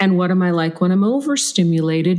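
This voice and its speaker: A woman's medium-pitched, ordinary speaking voice at a fairly quick pace. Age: 50s. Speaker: leadership coach and trainer. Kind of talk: interview conversation.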